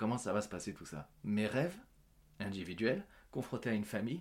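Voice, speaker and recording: A man keeps a moderate tempo, his intonation lively. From France, Paris suburbs (Yvelines), Portuguese parents. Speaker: actor and comedian. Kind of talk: interview. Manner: hesitant with many fillers.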